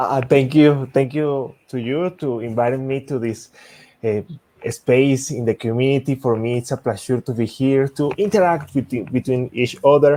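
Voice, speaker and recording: The voice has a dark, mellow tone and a Spanish accent, with ordinary pitch variation. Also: man, medium pitch for a man, moderate pace. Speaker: software engineer, tech speaker. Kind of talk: technical presentation.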